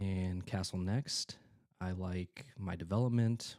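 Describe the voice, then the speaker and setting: A man speaks quietly in a dark, mellow tone at a fairly low pitch. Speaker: chess streamer. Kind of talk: live game commentary. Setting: at home. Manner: halting.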